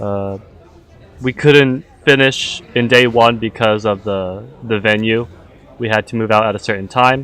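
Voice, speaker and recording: A man talks fairly slowly, his pitch medium and his intonation fairly even. Noticeable background noise runs underneath. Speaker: livestream host of an integration contest. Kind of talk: live event announcing. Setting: livestream. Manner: casual, filler-heavy; loud.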